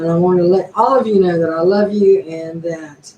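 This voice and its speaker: A woman with an unremarkable speaking voice, fairly low pitch, ordinary pitch variation and a moderate pace. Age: 60s. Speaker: YouTuber. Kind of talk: casual live stream monologue.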